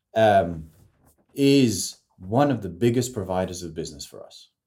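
Speaking at a fairly slow pace, a man with a medium pitch and a dark, mellow tone uses lively intonation and vocal fry. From French, raised in New Zealand, South Korea, Morocco, Australia. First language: French. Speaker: communication consultant. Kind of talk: casual interview. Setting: studio in Sydney. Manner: halting, many repeats.

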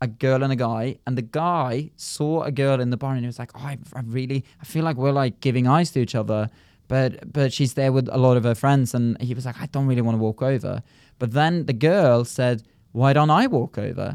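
This man has a southern English accent and a medium pitch. He talks at a fairly quick pace with fairly even intonation. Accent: southern English, almost RP. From rural Norway. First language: Norwegian. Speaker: comedian. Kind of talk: casual chat.

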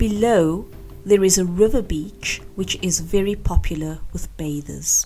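Noticeable background noise runs through the clip. A woman talks at a fairly slow pace. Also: medium pitch for a woman, ordinary pitch variation. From South Africa, Cape Town. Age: 50s. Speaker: English teacher. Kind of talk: scripted narration.

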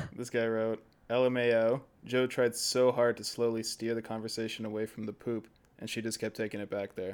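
Speaking in a monotone, flat way, the man keeps a medium pitch and a fairly quick pace. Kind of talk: casual chat.

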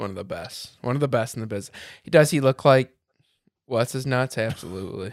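On a very clean recording with a silent background, a man with an American accent uses a normal speaking voice at medium pitch with ordinary pitch variation. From Michigan. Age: 30s. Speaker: insurance agent and Navy veteran. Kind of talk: casual chat.

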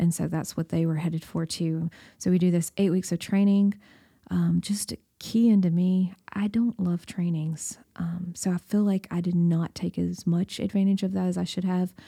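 In a Southern US accent, a woman speaks at a fairly low pitch with a dark, mellow tone, somewhat breathy and monotone with flat intonation. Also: moderate pace, very clean recording, silent background. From Tennessee, Baxter. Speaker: church missions director, former missionary. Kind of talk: interview storytelling.

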